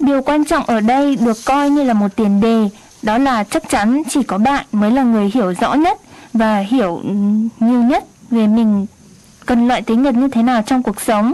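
A woman with a normal speaking voice talks at a fairly slow pace in a fairly high pitch, with ordinary pitch variation and very even loudness. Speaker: radio co-host and interpreter. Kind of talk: interpreting and informational radio talk.

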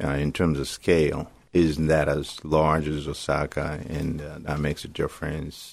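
In a very clean recording with a silent background, a man speaks at a fairly slow pace with a very deep, low pitch and monotone, flat intonation. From Africa. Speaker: community radio host. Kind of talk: radio interview. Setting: radio studio. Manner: hesitant with many fillers.

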